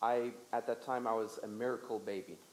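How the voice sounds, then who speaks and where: Slow-ish in pace, this man's speech comes at a fairly slow rate. His pitch is medium. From Lesotho. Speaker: guest speaker at church. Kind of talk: testimony. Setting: church service with audience. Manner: speaks in short segments for interpreter.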